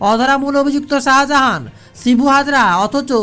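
Fairly bright in tone, the voice moves at a fairly quick pace with fairly even intonation.

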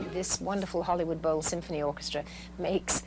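Noticeable background noise sits behind a woman speaking at a fairly quick pace. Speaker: singer and actress. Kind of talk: interview answer. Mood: warm, enthusiastic. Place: studio.

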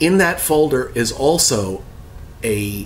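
Over light background noise, a man's voice swings very widely in pitch. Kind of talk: tutorial. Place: office.

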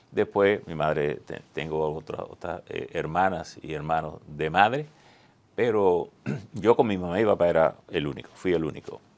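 A man's very deep, low voice at a moderate pace, with ordinary pitch variation. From Dominican Republic, northwest line (Montecristi); Dominican Republic. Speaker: veteran journalist and newspaper director; interview guest, journalist. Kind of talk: interview. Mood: calm, reflective. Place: studio. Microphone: lapel.

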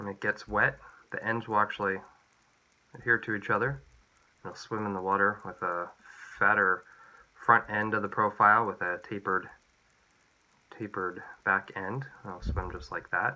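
At a moderate pace broken by long, frequent pauses, a man with a fairly low pitch speaks with fairly even intonation and a bright, sharp tone. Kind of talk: tutorial. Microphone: phone near.

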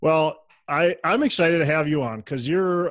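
The recording of this man is dry with no echo, set against a quiet background. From Minnesota. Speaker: podcast host. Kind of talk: casual interview. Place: home room. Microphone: earbuds.

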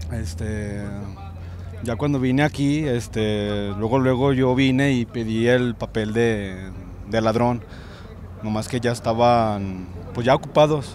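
Speaking very slowly with long, frequent pauses, a man with a medium pitch and ordinary pitch variation is heard in a dry recording with no echo and light background noise. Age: 20s. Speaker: passion play actor. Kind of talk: casual interview. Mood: earnest, grateful. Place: street. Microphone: handheld.

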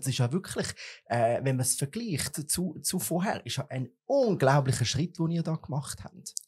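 A somewhat breathy man with lively intonation. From Switzerland. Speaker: podcast and TV host; podcast, TV host. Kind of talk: casual interview. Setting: studio. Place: studio. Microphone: studio mic.

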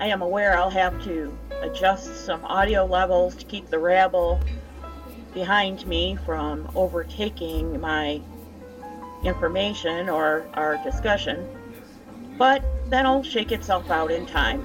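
Clear music plays in the background as a woman speaks at a fairly slow pace, with long, frequent pauses. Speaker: true crime channel host. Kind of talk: casual podcast commentary. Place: cafe.

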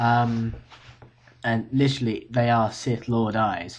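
The speaker is a man. He talks with a British accent. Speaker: university student vlogger. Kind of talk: casual video diary. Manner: hesitant, many fillers. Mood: relaxed, slightly tired. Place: home room. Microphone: webcam.

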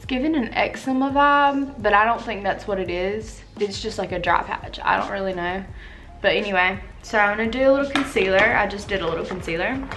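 A woman speaks at a fairly quick pace while light background noise sits underneath. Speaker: beauty vlogger. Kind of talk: casual vlog chat. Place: home room. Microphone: camera far.

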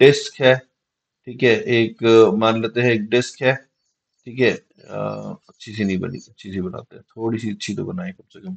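Against a quiet background, a man speaks at a fairly slow pace, his loudness swinging widely while his pitch varies in an ordinary way. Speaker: physics teacher. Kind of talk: lecture.

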